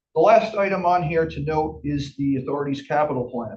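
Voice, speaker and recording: Somewhat breathy, the voice moves with lively intonation. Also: man. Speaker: finance officer presenting to board. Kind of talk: financial report presentation. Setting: board meeting. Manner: fast.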